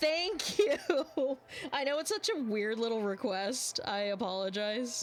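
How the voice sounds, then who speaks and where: A woman's fairly high-pitched voice with lively intonation. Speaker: streamer drawing live. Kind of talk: casual chat while drawing on stream. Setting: live stream. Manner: mumbling at times. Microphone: mic close, volume quiet.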